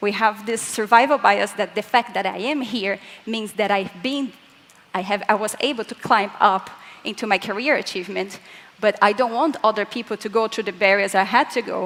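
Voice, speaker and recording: There is noticeable background noise as a woman with a fairly high pitch talks in fairly even intonation. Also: moderate pace. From Latin America. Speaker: physicist. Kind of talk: conference talk.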